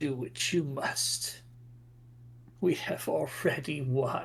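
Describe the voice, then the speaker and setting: Using a put-on character voice, a man with a medium pitch speaks at a very slow pace. Clear background noise can be heard. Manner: ominous, menacing.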